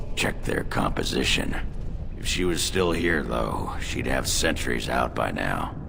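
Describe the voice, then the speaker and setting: Over loud background noise, someone delivers a put-on character voice at a fairly slow pace. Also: man, very deep, low pitch for a man. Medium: machinima. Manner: gruff, crude joking.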